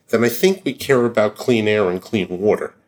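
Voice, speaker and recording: A man with an ordinary speaking voice at medium pitch, ordinary pitch variation and a moderate pace. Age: 60s. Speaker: biotech CEO. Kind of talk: interview.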